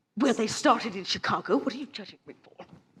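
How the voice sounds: A woman's put-on character voice, fast and fairly high, with a husky, rough edge, a fairly bright tone and lively intonation.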